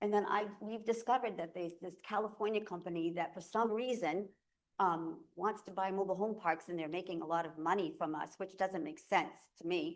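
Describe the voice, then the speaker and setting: A woman speaks at a medium pitch with ordinary pitch variation. Her pace is fairly quick. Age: 60s. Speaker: resident speaking at public comment. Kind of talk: public comment at town meeting. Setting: town select board meeting. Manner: halting.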